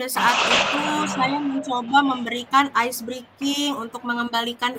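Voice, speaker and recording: A woman is speaking. Her pace is moderate. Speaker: teacher (role-play coachee). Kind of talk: role-play coaching conversation. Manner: hesitant, many fillers.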